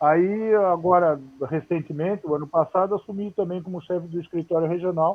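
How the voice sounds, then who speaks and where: Moderate pace and ordinary pitch variation in a man's voice. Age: 60s. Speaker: former footballer and coach. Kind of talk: interview on a live stream. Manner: halting, many repetitions.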